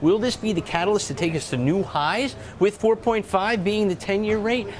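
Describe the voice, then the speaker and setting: With noticeable background noise, a man speaks at a moderate pace in a high pitch with ordinary pitch variation. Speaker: market strategist. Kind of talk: TV interview.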